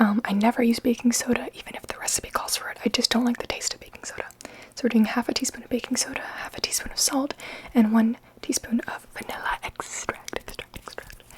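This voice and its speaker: A woman whispering at a fairly quick pace over noticeable background noise. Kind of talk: ASMR baking video talk to camera. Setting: kitchen. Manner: whispered, soft-spoken.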